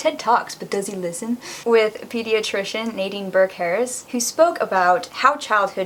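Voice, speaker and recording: The speaker is a woman with an unremarkable speaking voice. She talks at a medium pitch and a moderate pace. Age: 20s. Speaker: vlogger sharing personal story. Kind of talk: personal testimony vlog.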